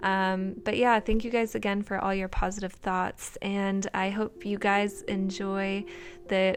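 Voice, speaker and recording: A woman speaks at a medium pitch and a fairly slow pace, her intonation monotone and flat. The recording is very clean, with a silent background. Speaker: bullet journal YouTuber. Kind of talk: voiceover tutorial. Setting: recorded voiceover. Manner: casual, rambling with fillers.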